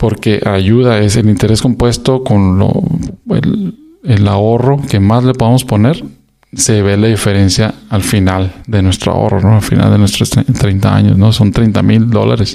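A man talks at a fairly low pitch in a plain, everyday voice. His loudness stays very even, and his intonation is fairly even too. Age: 40s. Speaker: podcast host. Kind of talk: solo casual monologue.

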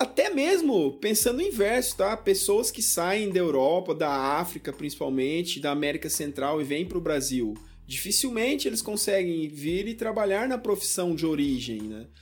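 A man talks at a moderate pace in a high voice, his pitch swinging very widely. Music plays in the background. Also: hardly any pauses. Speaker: podcast host, university lecturer. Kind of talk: interview.

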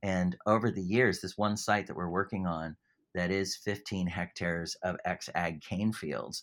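A man with a very deep, low pitch and a Californian accent, at a fairly slow pace with ordinary pitch variation, on a very clean recording with a silent background. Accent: Californian, retained. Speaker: environmental charity CEO. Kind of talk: interview. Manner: hesitant, many fillers.

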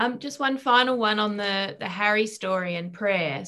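Bright and sharp in tone, a woman's voice sits at medium pitch. She keeps a moderate pace with ordinary pitch variation. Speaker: question reader. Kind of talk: relaying audience questions.

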